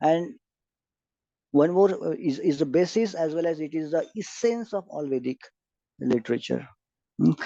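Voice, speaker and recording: Speaking in a fairly high pitch with an Indian accent, a man uses a dark, mellow tone and lively intonation, keeping a moderate pace broken by long, frequent pauses. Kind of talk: lecture. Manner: hesitant, many fillers.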